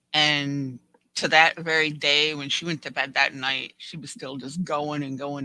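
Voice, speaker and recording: A man's fairly high voice, bright and sharp in tone, delivered in a flat monotone. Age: 50s. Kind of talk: casual chat.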